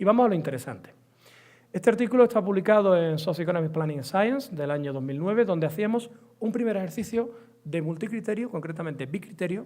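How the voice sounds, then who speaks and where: Delivered at a very fast pace with lively intonation, the speech carries an Andalusian accent. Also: man, high pitch for a man. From Andalusia, Spain. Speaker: economics professor. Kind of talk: lecture.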